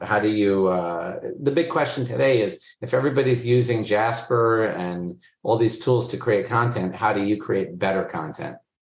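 The man speaks in an American accent, somewhat breathy, with ordinary pitch variation. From Florida, US. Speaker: agency CEO. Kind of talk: interview conversation. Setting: video call.

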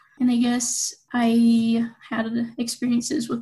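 Speaking with a western US accent, a woman uses a high pitch and a dark, mellow tone. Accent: western American. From Utah. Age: 20s. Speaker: university student. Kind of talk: interview.

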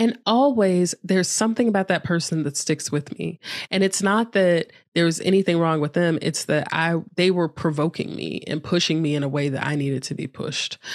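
Fairly quick and fairly low-pitched with ordinary variation, a woman with an American accent and a plain, everyday voice is heard on a very clean recording with a silent background. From United States. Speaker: yoga teacher and author. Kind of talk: casual interview chat. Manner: laughs often.

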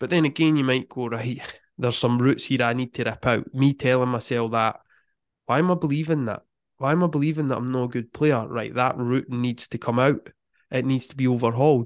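With fairly even intonation, a man moves along at a fairly quick pace. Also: medium pitch for a man, quiet background. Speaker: football mindset coach. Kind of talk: casual interview.

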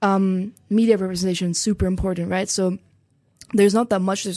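A woman with a German accent speaks at a medium pitch in a dark, mellow tone, her intonation monotone and flat. She talks at a fairly quick pace in a very clean recording with a silent background. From Germany. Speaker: exchange student. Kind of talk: interview.

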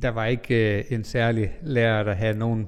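A man talks fairly slowly in a medium pitch. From Denmark, North Jutland (Vendsyssel). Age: 40s. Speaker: pastor. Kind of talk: life-story interview. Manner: hesitant, many fillers.

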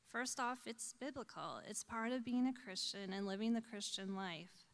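With an ordinary speaking voice, a woman talks at a moderate pace, her fairly high pitch showing ordinary pitch variation. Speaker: church board member and volunteer. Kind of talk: testimony. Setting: church.

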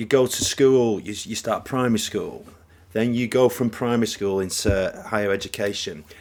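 A man's medium-pitched voice with a northern English accent, fairly even intonation and a moderate pace. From northern England. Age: 40s. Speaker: podcast co-host. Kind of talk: casual chat. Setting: home recording.

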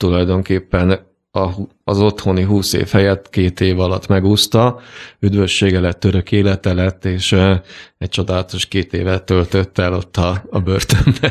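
On a very clean recording with a silent background, a man with a very deep, low pitch speaks fairly slowly in a flat monotone. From Hungary, Sopron. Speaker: land surveyor and prison minister. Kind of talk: radio interview. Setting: studio. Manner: hesitant, many fillers.

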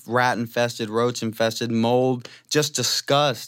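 An unremarkable speaking voice from a man, fairly slow, medium in pitch, with an American accent. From Louisiana, US South. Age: 20s. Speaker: Bible school student. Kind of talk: testimony.

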